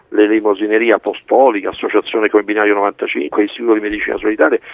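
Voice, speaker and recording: This man's voice sits fairly low. He talks very fast. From Italy. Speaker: doctor, scientific director. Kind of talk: radio interview. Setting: remote link.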